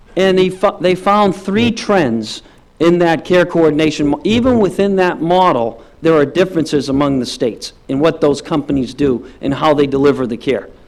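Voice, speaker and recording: This man talks with lively intonation at a fairly high pitch, with hardly any pauses. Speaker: healthcare policy consultant. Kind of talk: policy presentation to a task force. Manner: fast.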